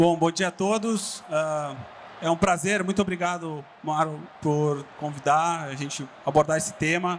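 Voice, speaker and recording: With a southern Brazilian accent, a man of fairly high pitch speaks at a fairly slow pace and with fairly even intonation. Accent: gaúcho. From southern Brazil (Rio Grande do Sul). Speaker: digital business executive. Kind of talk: conference talk. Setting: stage with audience.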